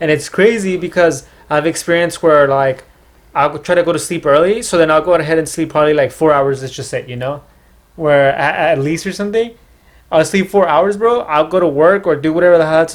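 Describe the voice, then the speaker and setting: A man with an American accent talks at a fairly quick pace. His voice sits fairly high, with ordinary pitch variation. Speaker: podcast host. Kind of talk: casual chat. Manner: halting.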